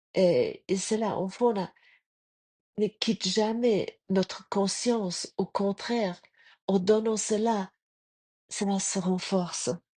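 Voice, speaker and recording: A woman talks at a very slow pace with long, frequent pauses, her medium-pitched voice dark and mellow. The sound is dry and close with no echo, against a quiet background. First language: German (speaking French). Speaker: spiritual podcaster. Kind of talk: spiritual reflection talk. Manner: halting.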